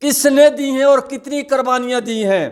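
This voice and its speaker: Pitched extremely high, this man's bright, sharp voice shows ordinary pitch variation. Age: 70s. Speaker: war veteran. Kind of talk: political commentary monologue. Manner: emotional, repetitive.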